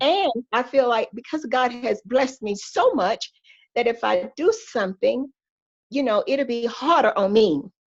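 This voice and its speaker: A high-voiced woman with a Southern US accent speaks at a fairly slow pace with lively intonation. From Georgia, USA. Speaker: pastor's wife, church first lady. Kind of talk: podcast interview answer, faith testimony.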